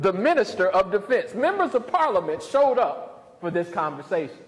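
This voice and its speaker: A man with a Southern US accent at a moderate pace, very wide pitch swings, and noticeable background noise. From US South. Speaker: pastor and professor. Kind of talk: lecture.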